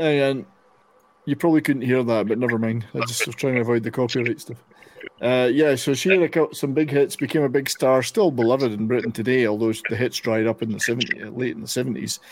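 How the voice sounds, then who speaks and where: A man with a Scottish accent, medium-pitched and animated, at a fairly quick pace with ordinary pitch variation, over noticeable background noise. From Scotland. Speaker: radio show host. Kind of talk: casual panel chat. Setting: online video and radio show. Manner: animated, jokey.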